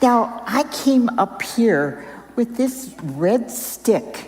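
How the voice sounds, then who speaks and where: A woman's pitch leaps and drops very widely while background noise stays noticeable. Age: 80s+. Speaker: volunteer storyteller and reading helper. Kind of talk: storytelling to children.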